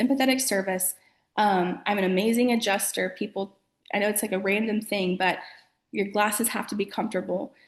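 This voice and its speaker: A woman's fairly high-pitched, somewhat breathy voice. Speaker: eyewear specialist, shop owner. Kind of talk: interview on webinar. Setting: video call webinar.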